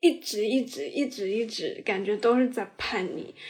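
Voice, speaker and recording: A woman with a plain, everyday voice, fairly high in pitch, with lively intonation at a fairly slow pace. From southern China. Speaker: podcast co-host. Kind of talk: casual chat.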